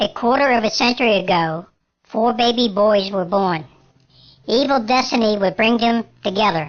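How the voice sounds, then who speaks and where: At a moderate pace, a female-sounding put-on character voice comes through at a fairly high pitch. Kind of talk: scary story narration. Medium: read story.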